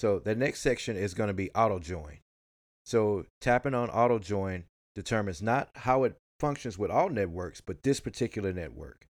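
Lively intonation and a Southern US accent come through at a moderate pace on a very clean recording with a silent background. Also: man, fairly low pitch for a man. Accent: country Southern US. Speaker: podcast host. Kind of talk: casual chat, tech podcast.

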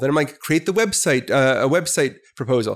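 Very clean recording with a silent background, featuring a man with an unremarkable speaking voice, fairly high pitch and a fairly quick pace. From US Midwest (Milwaukee, Wisconsin). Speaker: business professor. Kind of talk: casual interview.

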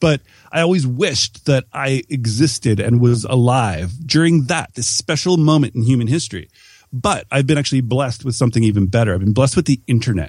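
In a very clean recording with a silent background, a man with a Canadian accent speaks with lively intonation and a somewhat breathy voice. The sound is dry and close, with no echo. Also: medium pitch for a man. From Canada. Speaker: entrepreneur and podcaster. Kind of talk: interview conversation.

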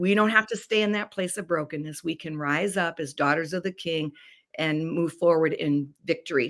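At a moderate pace, a woman talks in a normal speaking voice, fairly low in pitch with ordinary variation. The recording is very clean, with a silent background. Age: 60s. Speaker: life coach and author. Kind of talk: interview.

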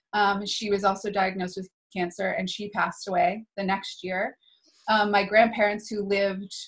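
Speaking at a moderate pace, a woman uses a medium pitch with a monotone, flat intonation. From US Northeast, New Hampshire. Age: 30s. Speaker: spiritual teacher and healer. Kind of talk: casual interview conversation.

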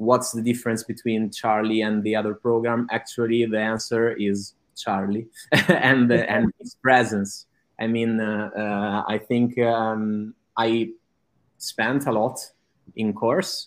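A man with an Italian accent speaks in a monotone, flat intonation. His pace is fairly slow and his pitch medium. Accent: Italian, noticeable. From Italy. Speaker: digital advertiser. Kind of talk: testimonial interview. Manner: halting, many fillers.

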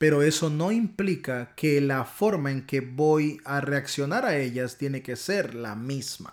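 Speaking at a fairly slow pace, a man with a strong Honduran accent uses a fairly high pitch and ordinary pitch variation on a very clean recording with a silent background. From Honduras. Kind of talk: devotional talk. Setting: home recording, not studio.

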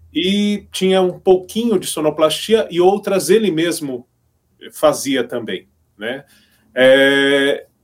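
A man speaks at a very slow pace in a high pitch. His intonation is lively. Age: 50s. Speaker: radio broadcaster and teacher. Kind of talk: casual chat.

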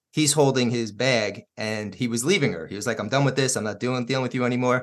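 A man with a medium pitch talks at a fairly quick pace. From New York. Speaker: podcast host. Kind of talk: interview.

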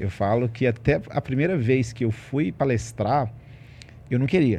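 A man's somewhat breathy voice, medium in pitch, with a dark, mellow tone and a fairly slow pace. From Ribeirão das Neves, Minas Gerais, Brazil. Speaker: financial coach and entrepreneur. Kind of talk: casual interview chat.

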